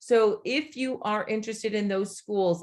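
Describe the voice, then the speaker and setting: A normal speaking voice at a moderate pace with fairly even intonation. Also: woman. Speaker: college admissions consultant. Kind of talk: online workshop presentation.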